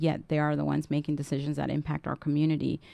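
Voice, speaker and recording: A woman's very deep, low voice in a dark, mellow tone with a Spanish accent, at a very fast pace, dry and close with no echo, against a quiet background. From Southern California, immigrant from Guatemala at age four. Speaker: political council president and legislative staffer. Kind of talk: radio interview.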